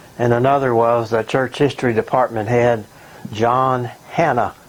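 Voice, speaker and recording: Noticeable background noise sits behind a man speaking at medium pitch. He talks at a fairly slow pace with flat, monotone intonation. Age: 70s. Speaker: retired pastor and author. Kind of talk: recorded video message. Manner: halting.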